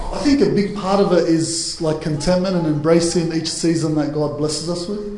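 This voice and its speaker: Over noticeable background noise, a man with a fairly high pitch talks at a moderate pace with fairly even intonation. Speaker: church speaker on marriage panel. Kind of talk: panel Q&A discussion. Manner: loud; halting.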